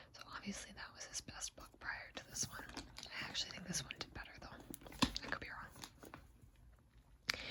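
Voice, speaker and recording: A whisper at a fairly slow pace over noticeable background noise. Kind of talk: ASMR book review, soft spoken. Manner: soft-spoken, quiet.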